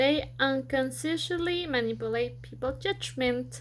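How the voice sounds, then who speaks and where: Speaking at a fairly slow pace, a woman has a non-native accent. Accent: non-native pronunciation. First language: Spanish. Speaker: student. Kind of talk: school presentation. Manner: halting.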